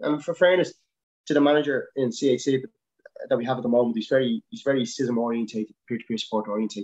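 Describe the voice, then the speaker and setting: A man with a Dublin accent, at a very fast pace. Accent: Dublin Irish. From Dublin, Ireland. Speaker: helicopter winchman and paramedic. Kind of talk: casual interview chat. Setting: video call.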